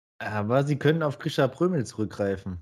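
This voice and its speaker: A somewhat breathy man's voice of medium pitch, fairly slow pace and lively intonation, on a very clean recording with a silent background. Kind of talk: casual chat.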